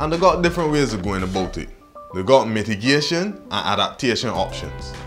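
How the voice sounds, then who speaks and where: Clear music plays in the background as a voice in a Barbadian accent moves through very wide pitch swings. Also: man. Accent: Barbadian (Bajan). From Barbados. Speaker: explainer presenter. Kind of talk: educational explainer to camera. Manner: casual, humorous.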